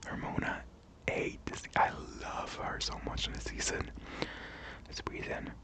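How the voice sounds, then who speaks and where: Whispering in a calm tone, a woman speaks at a fairly slow pace with long, frequent pauses amid noticeable background noise. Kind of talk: ASMR-style casual talk to camera, opinion commentary. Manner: soft, calm, whispered.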